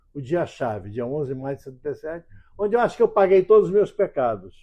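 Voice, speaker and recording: A man's high-pitched voice with lively intonation. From Brazil, Rio de Janeiro. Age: 80s+. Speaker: writer and former stock market trader. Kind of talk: oral history interview. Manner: halting, frequent repetitions.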